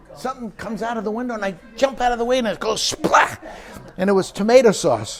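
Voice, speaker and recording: A man with a New York accent at a fairly quick pace. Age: old. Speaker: retired aerospace worker. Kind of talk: oral history interview. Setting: recorded interview.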